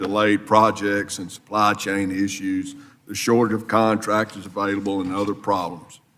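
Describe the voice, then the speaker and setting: This man has a Mississippi accent. His pitch is fairly low. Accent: US Southern (Mississippi). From South Mississippi. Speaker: congressman. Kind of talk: committee hearing questioning.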